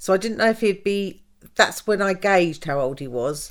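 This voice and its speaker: A woman's fairly low voice in a southern English accent, with lively intonation, on a very clean recording with a silent background. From southern England, Wimbledon. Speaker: mother of the host. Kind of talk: personal storytelling interview.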